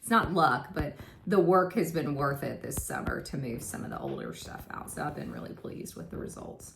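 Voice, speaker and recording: With a Southern US accent, a woman speaks in a very deep, low pitch amid audible room echo and noticeable background noise. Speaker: part-time reseller, vlogger. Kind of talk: casual vlog talk, sales recap. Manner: casual, with filler 'um'.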